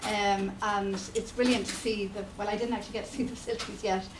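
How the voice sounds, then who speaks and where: Speaking at a fairly quick pace, a woman uses monotone, flat intonation. Noticeable background noise and audible room echo are present. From Ireland, Sligo. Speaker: community filmmaker. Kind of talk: seminar talk. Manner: halting, many fillers.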